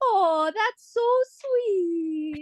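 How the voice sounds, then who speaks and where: The voice is a put-on character voice, delivered soft-spoken. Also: female-sounding voice, extremely high pitch for a woman. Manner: sweet.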